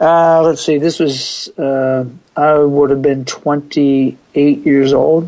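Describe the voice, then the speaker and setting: A man with an American accent, fairly high pitch, very slow pace, very even loudness and monotone, flat intonation. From US Northeast (Pennsylvania). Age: 60s. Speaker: fitness coach. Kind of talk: interview.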